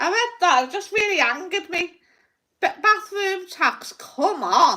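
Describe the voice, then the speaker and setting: A woman's raised, projected voice in a Liverpool accent, extremely high in pitch, bright and sharp, with lively intonation at a fairly slow pace. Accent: Scouse (Liverpool). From Liverpool, England. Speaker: psychic livestreamer. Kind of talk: casual livestream rant. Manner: animated.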